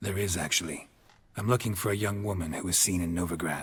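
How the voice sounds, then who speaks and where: Putting on a character voice, a man rattles off words at a very fast pace in a raspy, very deep and low pitch with a deadpan tone. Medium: video game. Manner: dry, deadpan.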